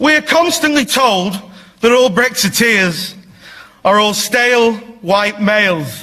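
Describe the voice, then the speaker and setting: Amid noticeable background noise, a raised, projected voice speaks very slowly with lively intonation, very even loudness, and long, frequent pauses. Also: man, high pitch for a man. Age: young. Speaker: parliamentary candidate. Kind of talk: political speech. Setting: stage with audience.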